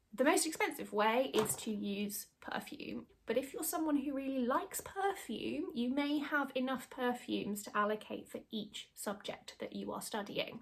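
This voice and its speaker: Lively intonation in a British accent at a moderate pace. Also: woman. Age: 30s. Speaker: YouTuber and former secondary school teacher. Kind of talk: casual tutorial.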